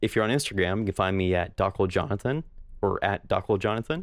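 A man's normal speaking voice, fairly low in pitch, with ordinary pitch variation and very even loudness. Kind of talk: casual chat. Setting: video call over Skype.

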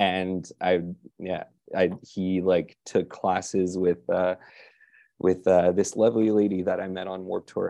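A man's very deep, low voice, dark and mellow in tone, with monotone, flat intonation at a fairly slow pace over a quiet background. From Quebec, Canada. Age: late 20s. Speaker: rock musician. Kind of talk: casual interview chat.

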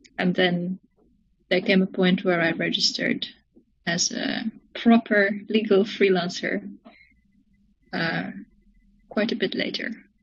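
A woman speaks at a medium pitch with vocal fry and fairly even intonation. Her pace is fairly slow, with long, frequent pauses. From South Africa, moved to Netherlands at 13. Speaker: cellist and composer. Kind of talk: casual interview.

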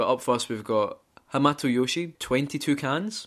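The speaker has a Scottish accent and ordinary pitch variation. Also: man. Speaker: gaming podcast co-host. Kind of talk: casual chat.

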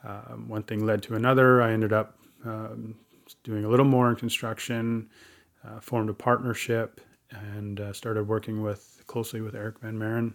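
Speaking in a Western Canadian accent, a man with a medium pitch keeps a monotone, flat intonation at a moderate pace, with big swings in loudness. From Chilliwack, British Columbia, Canada. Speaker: First Nations chief. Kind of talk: casual interview.

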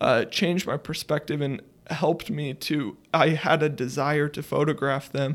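The clip is very clean, with a silent background. Its ordinary speaking voice carries fairly even intonation. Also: man, fairly high pitch for a man, moderate pace. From Idaho, US (small town). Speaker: photographer and geology student. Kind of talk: casual chat.

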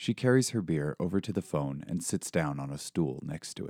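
A man speaks at a moderate pace with a very deep, low pitch and a dark, mellow tone, the sound dry and close with no echo on a very clean recording with a silent background. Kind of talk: dramatic narration of a fantasy novel, read aloud as a serialized podcast chapter.

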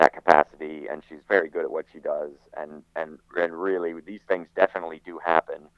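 Loudness rises and falls in big swings. The man talking keeps a fairly quick pace. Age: 50s. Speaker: goalkeeper coach. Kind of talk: interview. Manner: halting.

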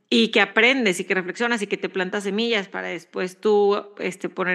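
A woman speaks at a fairly quick pace with a bright, sharp tone. Her intonation is fairly even, and the background is quiet. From Mexico. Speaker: podcast co-host. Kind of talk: casual chat.

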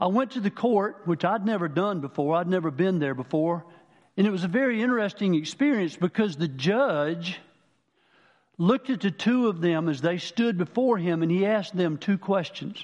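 A man's high voice with lively intonation at a moderate pace, over a quiet background. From Manning, South Carolina. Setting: church.

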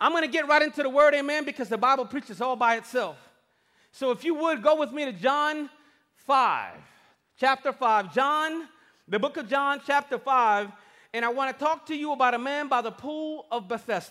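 A man with an extremely high pitch projects a raised, animated voice at a moderate pace, bright and sharp in tone. His pitch variation is ordinary, and the recording is very clean with a silent background. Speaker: campus pastor. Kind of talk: sermon. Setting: church stage with live audience. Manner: animated, call-and-response preacher, rallying the crowd with "say amen" prompts.

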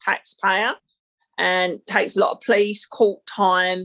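A woman talks in a London accent. Her pace is fairly slow. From London (Battersea, South London). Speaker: life and business coach. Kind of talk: casual chat.

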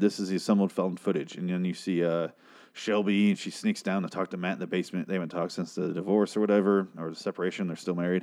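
A man speaks at a very fast pace in a dark, mellow tone. The background is quiet. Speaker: TV review podcaster. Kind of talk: solo TV episode review. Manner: animated.

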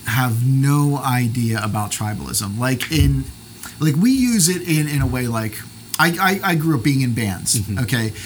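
Against noticeable background noise, a man speaks at a moderate pace and medium pitch with lively intonation. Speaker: podcaster and pastor. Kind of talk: casual interview chat. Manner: jokey, chatty.

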